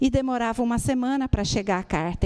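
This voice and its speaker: A woman with a dark, mellow tone, lively intonation and a moderate pace. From Brazil, Rio Grande do Sul. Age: 60s. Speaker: spiritist lecturer. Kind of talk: lecture. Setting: spiritist center with audience.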